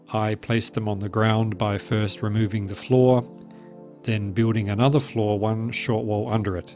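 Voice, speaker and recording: Over music in the background, a man speaks at a fairly low pitch and a moderate pace. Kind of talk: game base tour narration. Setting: voice over. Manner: soft-spoken.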